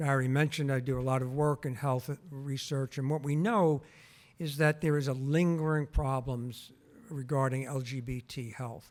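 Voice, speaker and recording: A man with an ordinary speaking voice talks fairly slowly at a medium pitch with fairly even intonation on a very clean recording with a silent background. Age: 60s. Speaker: health researcher and former council chair. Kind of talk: public talk. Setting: museum auditorium with audience.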